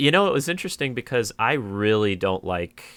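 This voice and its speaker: Speaking at a moderate pace with a Californian accent, a man with a fairly low pitch is heard on a very clean recording with a silent background. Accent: Californian American. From US West Coast, San Diego. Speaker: landscape and timelapse photographer. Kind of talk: interview.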